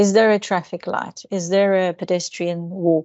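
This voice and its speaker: Speaking with a Turkish accent, a woman keeps a fairly slow pace, a medium pitch and fairly even intonation. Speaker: statistics lecturer and researcher. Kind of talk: academic seminar discussion. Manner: halting, many fillers.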